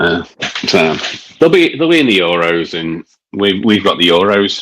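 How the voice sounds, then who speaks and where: With a Scouse accent, a man speaks at a moderate pace and with ordinary pitch variation, the sound dry and close with no echo. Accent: mild Scouse. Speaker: beer reviewer. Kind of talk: casual chat.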